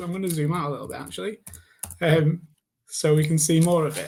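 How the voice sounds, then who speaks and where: Audible room echo surrounds this recording. A man speaks at a high pitch. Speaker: internal communications specialist. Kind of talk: conference panel discussion. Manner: hesitant, many fillers.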